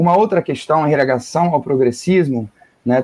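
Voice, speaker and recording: This is a man speaking. His pitch is fairly high. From northern Germany. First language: German (speaking Portuguese). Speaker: geography professor. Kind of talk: radio interview. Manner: halting.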